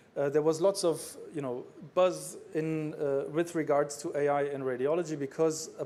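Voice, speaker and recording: Fairly even in intonation, a man speaks with a fairly high pitch and a dark, mellow tone. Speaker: radiologist, conference speaker. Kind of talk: conference talk. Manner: fast; hesitant, many fillers.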